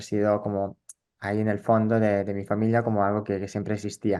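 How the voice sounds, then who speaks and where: A man speaks with an Italian accent. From northern Italy, rural. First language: Italian (speaking Spanish). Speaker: psychologist and social theatre educator. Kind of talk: interview. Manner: halting, with fillers and repetitions.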